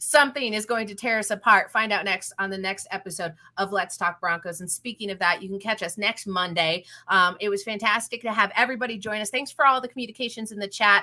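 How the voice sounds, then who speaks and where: Very fast, a woman speaks in a bright, sharp tone with ordinary pitch variation and big swings in loudness. The recording is very clean, with a silent background. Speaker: football podcast host. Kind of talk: show sign-off. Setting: podcast with live chat. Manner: stuttering a bit.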